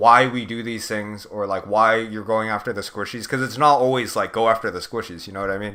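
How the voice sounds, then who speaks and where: A man's bright, sharp voice with an American accent, at a fairly quick pace with fairly even intonation. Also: medium pitch for a man. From California. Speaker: video game coach. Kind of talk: one-on-one coaching session. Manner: casual, filler-heavy.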